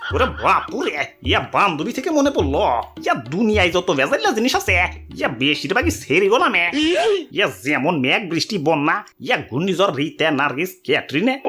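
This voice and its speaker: A man does a cartoonish character voice, high-pitched and raised to project. His pitch swings very widely while his loudness stays very even. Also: moderate pace. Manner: rambling, verbal tic ya and ore bapure.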